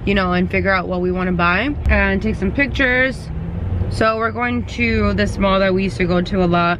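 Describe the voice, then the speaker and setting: A woman speaks at a fairly quick pace with very even loudness, her voice dry with no echo amid noticeable background noise. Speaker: vlogger. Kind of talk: casual vlog chat. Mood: cheerful, chatty. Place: car. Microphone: phone near.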